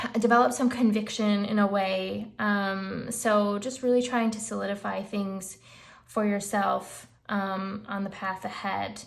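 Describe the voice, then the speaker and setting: A somewhat breathy woman at a fairly slow pace. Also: medium pitch for a woman, fairly even intonation. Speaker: tarot reader. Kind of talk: tarot reading, casual talk to camera.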